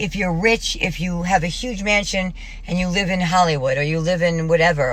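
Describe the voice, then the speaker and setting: Audible room echo plus noticeable background noise. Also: woman. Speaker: vlogger. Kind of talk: personal video diary monologue. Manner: fast; rambling, halting.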